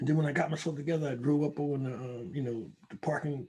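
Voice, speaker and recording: Somewhat breathy and fairly high in pitch, a man talks at a very fast pace. His intonation stays fairly even. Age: 70s. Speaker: recovering addict and gun violence researcher. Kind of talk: casual chat.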